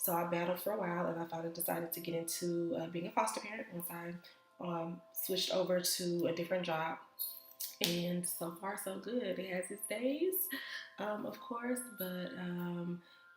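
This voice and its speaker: A woman's fairly low-pitched voice at a moderate pace, with ordinary pitch variation and music in the background. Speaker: vlogger and foster mom. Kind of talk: casual vlog talk. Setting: home office. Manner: hesitant, many fillers.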